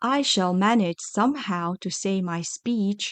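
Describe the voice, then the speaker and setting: Against a quiet background, a female-sounding voice in a put-on character voice speaks at middle pitch and a fairly slow pace. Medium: read story. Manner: meek.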